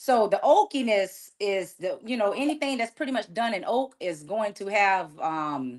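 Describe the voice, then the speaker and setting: A woman speaks with a Southern US accent, her pitch swinging very widely. The background is quiet. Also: medium pitch for a woman, moderate pace, hardly any pauses. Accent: Southern US, noticeable. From US South, Savannah, Georgia. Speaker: sommelier. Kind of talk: casual chat.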